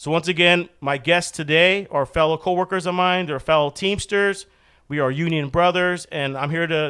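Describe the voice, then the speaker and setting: Here a man talks at a moderate pace in a high pitch. His intonation is fairly even. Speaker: podcast host, union delivery driver. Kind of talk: casual podcast chat. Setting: studio.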